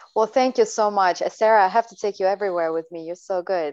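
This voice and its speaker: A woman speaks in an unremarkable speaking voice at a medium pitch. The sound is dry and close, with no echo. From Latvia, Siberia and the US. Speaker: dancer and choreographer. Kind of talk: casual chat.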